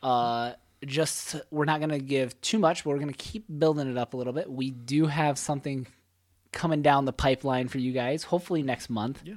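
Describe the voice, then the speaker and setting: With a normal speaking voice, a man talks at a fairly quick pace and fairly high pitch, showing ordinary pitch variation. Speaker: podcast co-host and teacher. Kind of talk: casual chat.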